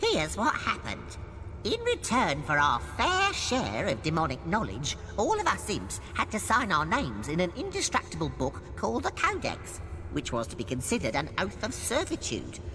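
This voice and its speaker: A put-on character voice with a theatrical tone comes at a moderate pace over loud background noise. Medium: video game. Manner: theatrical, chatty, wry.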